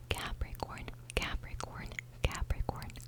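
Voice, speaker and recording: Whispering from a woman, with noticeable background noise behind it. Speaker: ASMR content creator. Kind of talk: ASMR horoscope reading, whispered to camera. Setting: close microphone at home. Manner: whispered, soft, close-up.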